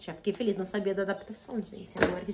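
A woman speaks against loud background noise. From Brazil. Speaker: book youtuber; book vlogger. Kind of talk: casual vlog unboxing. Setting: at home. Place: home room. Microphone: phone near.

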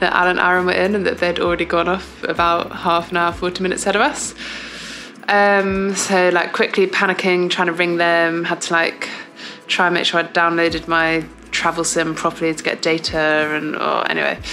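A woman with a fairly low pitch, in monotone, flat intonation at a fairly quick pace, over light background noise. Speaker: athlete vlogger. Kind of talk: casual vlog chat. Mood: amused, self-deprecating. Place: home room. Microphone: phone near.

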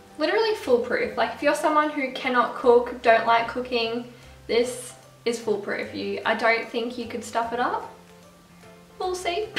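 Over faint music and audible room echo, a woman speaks at a fairly slow pace. Her pitch is high, with ordinary pitch variation. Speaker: food vlogger. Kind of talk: casual vlog chat. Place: kitchen. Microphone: camera far.

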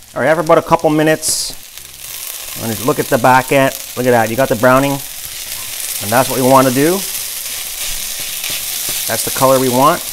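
With noticeable background noise behind him, a man speaks at a very fast pace with fairly even intonation. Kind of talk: cooking tutorial. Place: kitchen. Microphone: phone near.

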